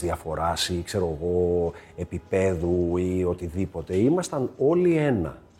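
A man's intonation is lively. Noticeable background noise accompanies him. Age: 40s. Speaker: actor. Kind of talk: casual chat.

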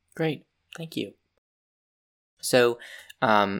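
A man's bright, sharp voice at a moderate pace, on a very clean recording with a silent background. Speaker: college radio co-host. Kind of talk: radio interview hosting. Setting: radio studio.

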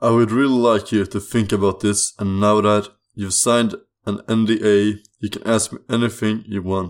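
Someone reads aloud plainly, with fairly even intonation, against a quiet background.

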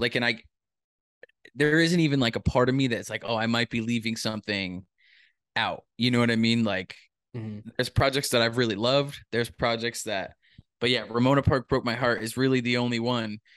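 Over a quiet background with a dry, close sound and no echo, a man with a normal speaking voice talks at a fairly quick pace in a medium pitch with fairly even intonation. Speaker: podcast co-host. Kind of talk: casual chat, music reaction podcast.

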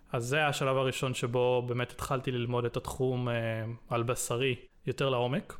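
At a moderate pace, a man speaks at a medium pitch in a monotone, flat delivery with very even loudness. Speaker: game developer. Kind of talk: interview.

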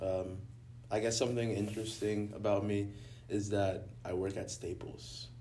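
Amid audible room echo, a man talks at a moderate pace in a fairly low, somewhat breathy voice with a dark, mellow tone and ordinary pitch variation. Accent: American. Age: young. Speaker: recent high school graduate. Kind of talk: casual chat.

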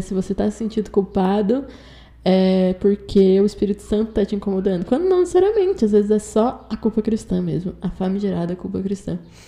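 Somewhat breathy and dark, mellow in tone, a woman's fairly high voice carries lively intonation. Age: 20s. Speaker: journalism student. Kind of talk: personal testimony.

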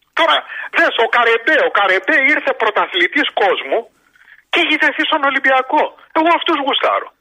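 A man speaks with extremely high pitch, lively intonation and very even loudness. Long, frequent pauses break up his speech. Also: moderate pace. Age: 60s. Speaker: radio show caller, sports fan. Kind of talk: casual call-in chat about sports.

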